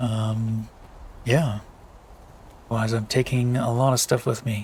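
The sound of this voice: A man's slow, medium-pitched voice with a slightly mellow tone and little pitch movement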